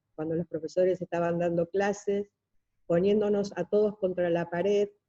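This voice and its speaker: Recorded with a dry, close sound and no echo, a woman speaks at a fairly low pitch and moderate pace in a dark, mellow tone with monotone, flat intonation. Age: 60s. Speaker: seminar participant. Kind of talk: testimony.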